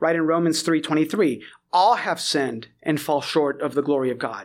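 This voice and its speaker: A normal speaking voice at a fairly quick pace, ordinary pitch variation, in a very clean recording with a silent background. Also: man. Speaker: Presbyterian pastor. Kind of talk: theological discussion.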